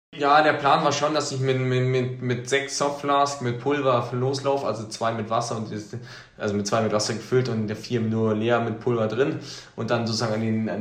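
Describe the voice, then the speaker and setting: A man talks at a fairly quick pace and a medium pitch with fairly even intonation. Noticeable background noise and audible room echo are present. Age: 20s. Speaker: trail runner, student. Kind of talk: interview.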